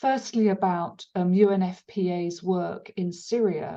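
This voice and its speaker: A woman's dark, mellow voice at a medium pitch, flat and monotone. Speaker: webinar moderator. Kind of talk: webinar Q&A moderation. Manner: hesitant, many fillers.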